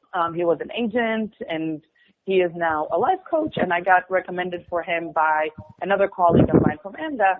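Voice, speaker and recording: With an Israeli accent, a woman speaks at a fairly low pitch and fairly even intonation. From Israel, suburb of Tel Aviv. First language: Hebrew. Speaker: musical theater performer. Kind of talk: interview.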